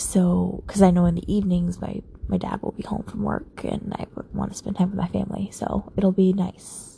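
A woman mumbles. Her pace is moderate. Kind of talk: late-night personal monologue. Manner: mumbling; frequent sighs.

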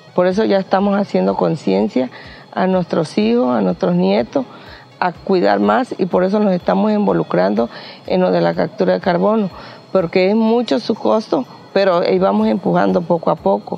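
Over music in the background, a woman speaks at a moderate pace and a fairly low pitch, with very wide pitch swings and very even loudness. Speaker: community member. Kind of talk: interview.

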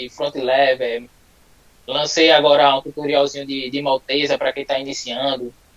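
A man with fairly high pitch speaks slowly and flatly, in a monotone. The sound is dry and close with no echo, though background noise is noticeable. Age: 20s. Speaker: calisthenics athlete. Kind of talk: casual live interview.

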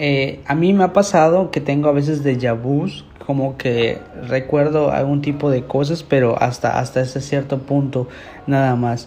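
A man talks at a fairly slow pace and fairly high pitch with fairly even intonation and very even loudness. Noticeable background noise runs underneath. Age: 20s. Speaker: podcast host. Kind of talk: casual monologue. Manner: hesitant.

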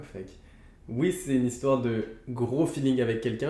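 A man's fairly quick delivery with fairly even intonation and audible room echo. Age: 20s. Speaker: YouTuber friend. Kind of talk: casual chat.

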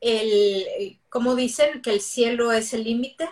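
Pitched high, a woman talks at a very slow pace. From Mexico City. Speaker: dentist and business coach. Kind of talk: interview on a livestream.

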